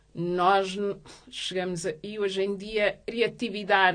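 A woman speaks with monotone, flat intonation. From Portugal, Lisbon. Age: 30s. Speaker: activist, association president. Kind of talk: interview. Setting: studio. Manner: halting, many fillers.

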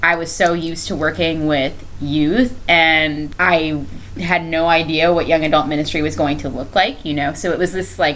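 With an American accent, a woman talks at a moderate pace with hardly any pauses, her pitch very deep and low with ordinary variation, amid noticeable background noise and audible room echo. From Florida, Brevard County. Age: 20s. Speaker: teacher and ministry leader. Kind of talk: casual interview. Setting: at host's home. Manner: laughs often.

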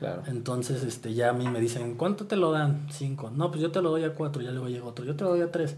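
A man's fairly high voice at a very fast pace, hardly any pauses, ordinary pitch variation, audible room echo and noticeable background noise. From Mexico, Morelia (Michoacán). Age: 30s. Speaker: sneaker collector and Instagram personality. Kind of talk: casual interview. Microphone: poor sound quality.

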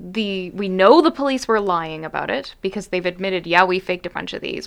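A woman with an unremarkable speaking voice, medium pitch and moderate pace. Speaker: lawyer and podcast host. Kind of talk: casual chat.

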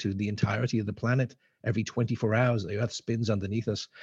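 A man talks at a fairly quick pace and a medium pitch. His voice is somewhat breathy. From Isle of Man. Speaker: space entrepreneur. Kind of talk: panel discussion.

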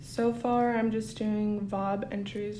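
Speaking very slowly with fairly even intonation, a woman is heard with audible room echo. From Kotzebue, Alaska. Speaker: student intern. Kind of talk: interview.

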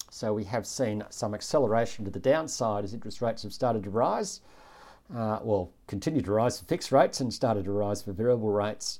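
A very fast Australian accent from a man, fairly low and dark, mellow in tone, with ordinary pitch variation. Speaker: chief economist hosting an investing podcast. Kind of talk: economic commentary monologue.

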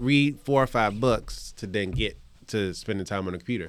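A man with an American accent and a normal speaking voice, fairly low in pitch with ordinary pitch variation, at a moderate pace in a very clean recording with a silent background. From Richmond, Virginia. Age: 30s. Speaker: chef and restaurant owner. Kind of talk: casual chat.

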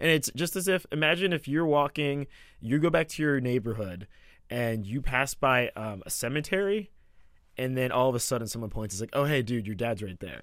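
With an American accent, a man talks at a fairly quick pace in a medium pitch, using lively intonation and a plain, everyday voice, on a very clean recording with a silent background. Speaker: radio producer. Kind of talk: casual chat. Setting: studio.

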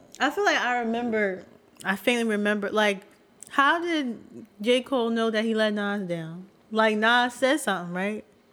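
A woman talks at a moderate pace with a fairly high pitch and ordinary pitch variation. She has an ordinary speaking voice. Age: 20s. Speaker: podcast co-host. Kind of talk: casual chat.

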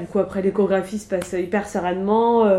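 Her medium-pitched voice moving fairly quickly, a woman speaks in a monotone, flat intonation. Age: 30s. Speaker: childminder sharing personal pregnancy loss story. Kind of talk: personal testimony interview. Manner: hesitant, many fillers.

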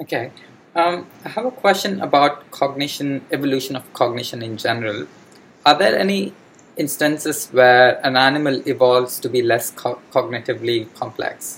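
Over noticeable background noise, a man of medium pitch talks at a moderate pace with ordinary pitch variation. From India. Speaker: podcast host, science student. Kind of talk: interview. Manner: halting.

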